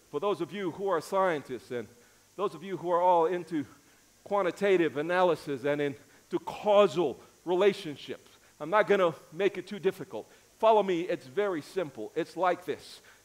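A high-pitched man with an American accent, ordinary pitch variation and a moderate pace. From US, New York City. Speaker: pastor. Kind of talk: sermon. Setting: church. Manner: animated. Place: church. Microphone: headset.

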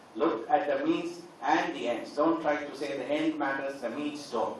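A man talks at a fairly slow pace with ordinary pitch variation, his voice carrying strong room echo over light background noise. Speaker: teacher giving a seminar address. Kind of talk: lecture. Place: hall.

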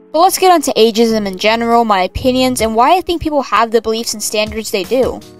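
A woman talks very fast with hardly any pauses and lively intonation. Her pitch is fairly high, and music plays in the background. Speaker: digital artist and art commentary YouTuber. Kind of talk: casual commentary over speedpaint. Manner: stuttering, unscripted.

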